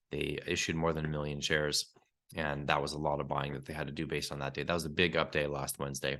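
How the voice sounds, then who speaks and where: A man speaks very fast in a very deep, low voice with vocal fry. His tone is bright and sharp. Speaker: investment newsletter publisher. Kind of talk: market commentary. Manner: casual, conversational.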